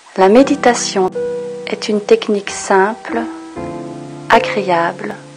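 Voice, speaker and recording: Music plays behind a woman speaking in a calm tone at a very slow pace. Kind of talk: guided meditation instructions. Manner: calm, soft-spoken.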